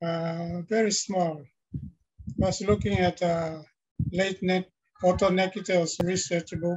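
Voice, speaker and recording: With a high pitch and fairly even intonation, a man talks at a fairly slow pace, leaving long, frequent pauses. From Papua New Guinea. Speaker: linguistics professor. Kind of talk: panel discussion. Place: office. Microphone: webcam.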